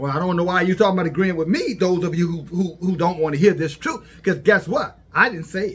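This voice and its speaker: A man's voice, high-pitched, at a fairly quick pace with ordinary pitch variation. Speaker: religious commentator. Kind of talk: preaching commentary. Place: home room. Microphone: phone near.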